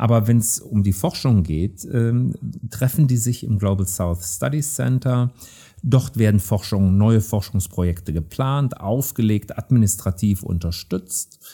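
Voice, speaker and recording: A man speaks fairly slowly with a fairly low pitch and lively intonation. His tone is dark, mellow and somewhat breathy. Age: 60s. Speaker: professor of anthropology. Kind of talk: interview.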